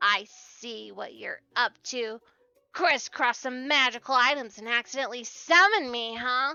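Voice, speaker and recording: With faint music in the background, a woman puts on a high-pitched character voice and speaks at a moderate pace. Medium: game stream. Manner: chatty, friendly.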